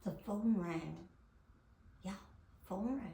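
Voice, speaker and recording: A woman with a dark, mellow tone speaks with lively intonation and a somewhat breathy quality. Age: old. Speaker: actress, original model for a famous fairy character. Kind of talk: casual storytelling to camera. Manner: enthusiastic, excitable.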